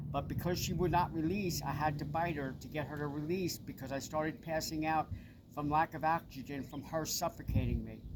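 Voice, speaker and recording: A man with a Long Island accent talks fairly quickly at a fairly high pitch, using vocal fry and a monotone, flat intonation. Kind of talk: personal testimony.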